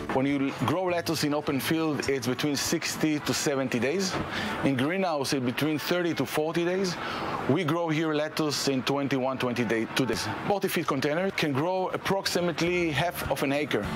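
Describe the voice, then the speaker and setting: At a moderate pace, a man talks with ordinary pitch variation and very even loudness over noticeable background noise. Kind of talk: interview answer. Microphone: lapel.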